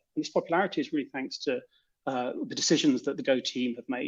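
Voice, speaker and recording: Against a quiet background, a speaker with a British accent talks with lively intonation. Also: man. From Britain. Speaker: software developer. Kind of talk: conference talk.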